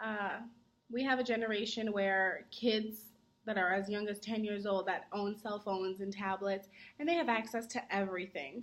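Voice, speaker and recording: A woman talks at medium pitch with ordinary pitch variation. Her pace is moderate. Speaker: college student. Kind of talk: mock interview. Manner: projects voice.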